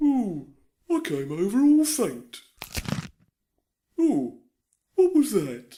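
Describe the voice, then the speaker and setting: A cartoonish character voice sits at a fairly high pitch. It moves at a very slow pace with long, frequent pauses. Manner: slow, dozy.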